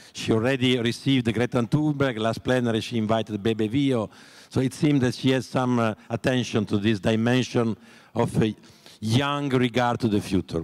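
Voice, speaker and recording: A man with an Italian accent speaks at a moderate pace and medium pitch, his intonation fairly even and his loudness very even. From Italy. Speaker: panel moderator. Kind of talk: panel moderation. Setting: conference stage with audience. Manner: halting.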